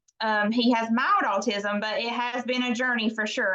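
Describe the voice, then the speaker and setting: A woman with a Southern US accent and a fairly high pitch speaks at a moderate pace with fairly even intonation. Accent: Southern US (Georgia). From US South, Baxley, Georgia. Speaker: direct sales leader. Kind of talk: guest talk on training call.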